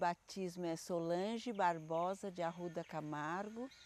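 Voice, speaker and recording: Her tone is dark and mellow. This woman delivers her words at a fairly slow pace. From Brazil, São Paulo state interior. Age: 70s. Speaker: dancer. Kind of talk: interview reminiscence.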